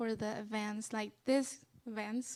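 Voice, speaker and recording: A woman speaks in a Spanish accent at a fairly slow pace. Her pitch is fairly high and her intonation fairly even. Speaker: student leader. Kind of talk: interview on stage. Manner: halting.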